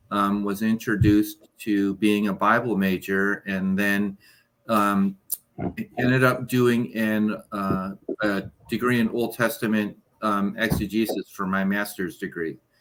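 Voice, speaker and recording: A man with an unremarkable speaking voice, fairly low pitch, fairly even intonation and a fairly slow pace. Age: 60s. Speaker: Bible scholar, teacher and part-time pastor. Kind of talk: casual chat.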